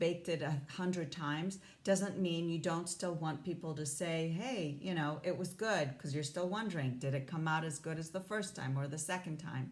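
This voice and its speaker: A woman's somewhat breathy, fairly low-pitched voice at a moderate pace, with fairly even intonation, hardly any pauses and audible room echo. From Hong Kong. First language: not English (English is third language). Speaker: life coach. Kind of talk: motivational talk to camera.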